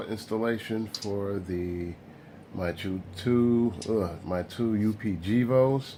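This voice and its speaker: Here a man speaks very slowly. His voice is dark, mellow and fairly low in pitch. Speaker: model railroad hobbyist vlogger. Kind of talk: casual vlog. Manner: rambling, halting; slurring speech.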